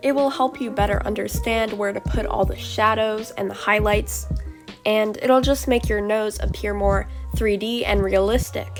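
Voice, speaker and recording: Music plays in the background and the room echo is audible. The speech moves at a fairly slow pace. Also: woman. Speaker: art tutorial creator. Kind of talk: tutorial voiceover.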